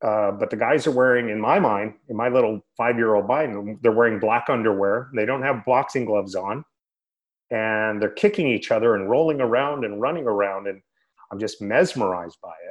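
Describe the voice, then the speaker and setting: Here a man with an American accent uses a plain, everyday voice at medium pitch, moderate pace and ordinary pitch variation. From Northern California, Sacramento area. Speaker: retired wrestler and podcast host. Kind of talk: casual interview.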